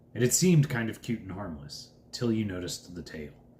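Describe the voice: The speaker does plain reading aloud, and the intonation is lively.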